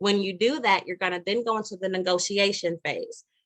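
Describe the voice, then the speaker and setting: A woman's fairly high voice at a fairly quick pace, fairly even in intonation, dry and close with no echo. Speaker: realtor. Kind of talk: live webinar presentation. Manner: fast.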